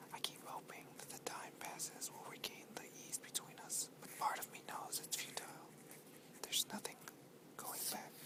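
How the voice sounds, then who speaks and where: Over noticeable background noise, someone whispers at a moderate speed. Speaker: ASMR artist. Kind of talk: whispered ASMR book reading for relaxation. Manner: whispered, soft.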